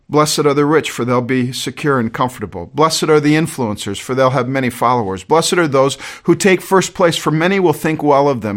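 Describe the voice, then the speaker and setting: A man with a fairly high pitch talks at a fairly quick pace with ordinary pitch variation. The recording is very clean, with a silent background. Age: 60s. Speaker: pastor. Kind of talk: warm conversational Sunday sermon, pleading pastoral appeal. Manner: earnest and folksy, with repeated words and soft laughs; repetitive, halting restarts.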